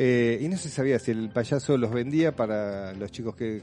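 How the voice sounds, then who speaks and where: This is a man with an ordinary speaking voice and ordinary pitch variation. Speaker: radio host. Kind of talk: casual chat.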